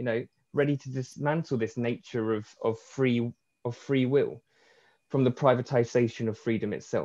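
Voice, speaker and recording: A man talks in a dark, mellow tone with flat, monotone intonation. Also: medium pitch for a man, moderate pace. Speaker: art academic. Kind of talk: academic talk. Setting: video call from home at night. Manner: quiet.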